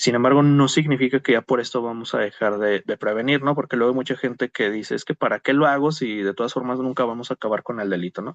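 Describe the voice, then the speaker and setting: The speech rushes by at a very fast pace with hardly any pauses. Its pitch variation is ordinary. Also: man, medium pitch for a man. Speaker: criminologist, conference speaker. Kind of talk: lecture. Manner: hesitant fillers (eh).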